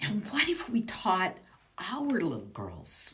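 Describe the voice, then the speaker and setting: A woman speaks in an animated tone against noticeable background noise. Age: 60s. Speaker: business mindset coach. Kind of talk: motivational coaching talk.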